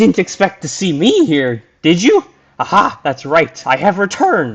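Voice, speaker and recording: Putting on a character voice, a man sounds shrill and high-pitched at a moderate pace. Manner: gloating, theatrical.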